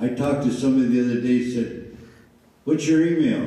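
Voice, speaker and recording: Audible room echo and noticeable background noise around a man's voice. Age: 70s. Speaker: mayoral candidate, former mayor. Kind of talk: candidate forum answers. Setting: public forum with audience. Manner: animated, folksy.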